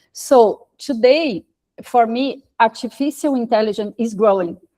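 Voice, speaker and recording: With a Portuguese accent and a dark, mellow tone, the speaker goes at a fairly slow pace with fairly even intonation in a dry, close sound with no echo. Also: woman. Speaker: social entrepreneur, institute president. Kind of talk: question at online panel event. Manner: halting, hesitant.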